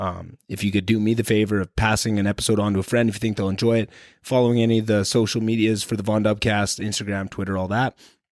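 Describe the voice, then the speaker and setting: Very fast, with a Canadian accent and hardly any pauses, the speech stays monotone and flat. The recording is very clean with a silent background. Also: man, fairly low pitch for a man. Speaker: podcast host. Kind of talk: podcast intro monologue. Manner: casual.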